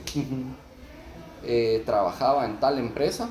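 Over noticeable background noise and audible room echo, a man with a Guatemalan accent talks at a moderate pace and a medium pitch. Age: 30s. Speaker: barber. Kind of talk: casual interview.

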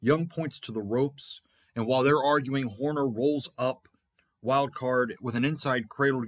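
Speaking at a moderate pace, a man uses a normal speaking voice with medium pitch and ordinary pitch variation. The sound is dry and close, with no echo. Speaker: fantasy wrestling promoter and show host. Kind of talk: scripted-style play-by-play recap of fantasy wrestling results, like a ring announcer. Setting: podcast recording.

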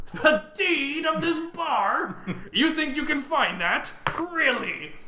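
A woman's high, put-on character voice at a very slow pace, with clear background noise. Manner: laughing, mocking, incredulous.

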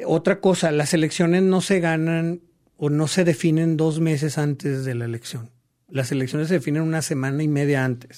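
A man's fairly high voice, a plain, everyday voice, at a moderate pace. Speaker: political consultant. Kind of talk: interview. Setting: studio.

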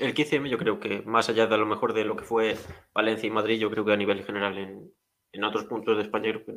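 An unremarkable speaking voice, a man's at a fairly low pitch, moves at a fairly quick pace with fairly even intonation. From rural Galicia, Spain. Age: 20s. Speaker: podcast host. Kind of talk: casual chat.

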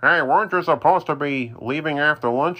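Putting on a character voice, a man talks at a fairly quick pace and a fairly high pitch. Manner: grumpy, grouchy.

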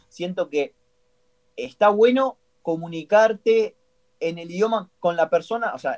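A high-pitched male voice, its pitch moving in an ordinary way. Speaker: language student and teacher. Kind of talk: casual chat. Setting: video call. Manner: halting.

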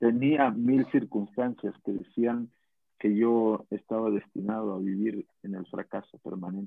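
A man speaks at a fairly low pitch with a Mexican accent. His pace is fairly slow and his intonation fairly even. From Mexico, Guadalajara. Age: 40s. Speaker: network marketing distributor, former carpenter. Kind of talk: motivational interview on a live stream.

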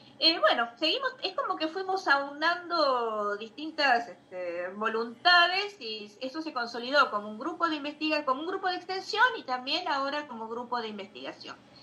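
Over noticeable background noise, the speech moves at a moderate pace with very wide pitch swings and hardly any pauses. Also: woman, high pitch for a woman. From Bahía Blanca, Buenos Aires province, Argentina. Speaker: literature professor and researcher. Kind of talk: live-streamed interview. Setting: live video stream, also on radio.

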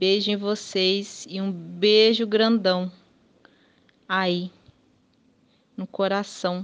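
A woman speaks at medium pitch and a very slow pace, her intonation monotone and flat, with long, frequent pauses. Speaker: podcast co-host. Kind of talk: recorded monologue.

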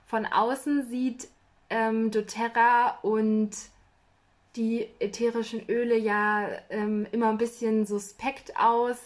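With monotone, flat intonation, a woman speaks at a fairly high pitch. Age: 20s. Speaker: podcast host. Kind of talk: casual interview.

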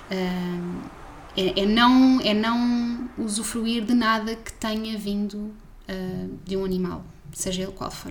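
Over noticeable background noise and audible room echo, a woman with a fairly high pitch speaks at a very slow pace with fairly even intonation. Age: 20s. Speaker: science communicator. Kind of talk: casual chat.

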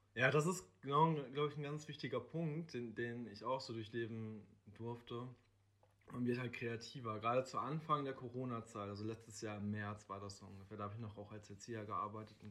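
A man with a plain, everyday voice speaks at a fairly quick pace and a medium pitch. His loudness swings widely from moment to moment. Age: 20s. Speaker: social worker. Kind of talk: casual interview.

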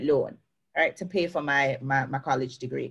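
A woman with a Jamaican accent talks at a very fast pace. Her pitch moves in an ordinary way. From Jamaica, Clarendon parish. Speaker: success coach. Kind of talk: interview. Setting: video call. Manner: lively.

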